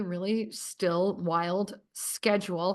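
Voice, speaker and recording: A woman's voice over a quiet background. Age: 50s. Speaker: entrepreneur, company co-founder. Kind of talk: casual chat. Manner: animated.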